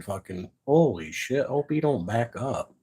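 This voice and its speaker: Somewhat breathy and lively in intonation, a man speaks with an American accent. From Michigan's Upper Peninsula. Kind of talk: casual live stream talk. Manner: blunt, profane.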